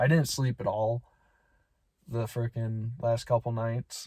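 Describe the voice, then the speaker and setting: The sound is dry and close, with no echo. A man speaks in a dark, mellow tone that is somewhat breathy. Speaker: vlogger. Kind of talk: casual vlog. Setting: outdoors. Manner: whispering.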